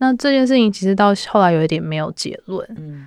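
A woman talks at a fairly quick pace with lively intonation. She has an ordinary speaking voice. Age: 30s. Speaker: music artist manager. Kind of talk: casual interview chat.

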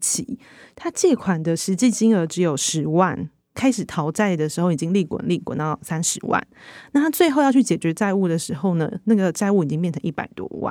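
A woman with a Taiwanese accent talks at a fairly quick pace in a fairly low, dark, mellow voice with lively intonation. The recording is very clean, with a silent background. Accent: Taiwanese Mandarin. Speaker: magazine reporter. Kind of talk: interview discussion.

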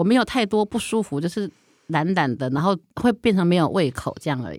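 A woman talks at a fairly quick pace with very wide pitch swings, in a dry, close sound with no echo on a very clean recording with a silent background. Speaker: writer and editor. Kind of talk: casual chat.

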